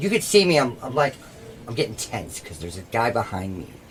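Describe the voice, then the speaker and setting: A man's voice against noticeable background noise. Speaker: podcast co-host. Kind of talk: casual comedic chat. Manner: loud; animated.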